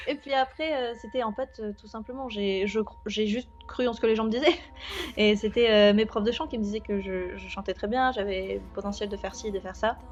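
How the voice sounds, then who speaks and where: Over background music, a woman talks at a fairly quick pace in a fairly high voice with ordinary pitch variation. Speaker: singer. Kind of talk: interview. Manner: halting.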